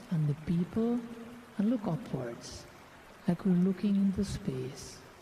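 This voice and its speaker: A high-pitched man at a very slow pace, with ordinary pitch variation and noticeable background noise. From Guyana. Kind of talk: guided meditation.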